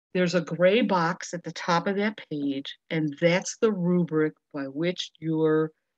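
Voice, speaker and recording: At a fairly slow pace, a woman with a fairly low pitch and ordinary pitch variation speaks in an unremarkable speaking voice, recorded dry and close with no echo against a quiet background. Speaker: webinar presenter for teachers. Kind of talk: webinar presentation.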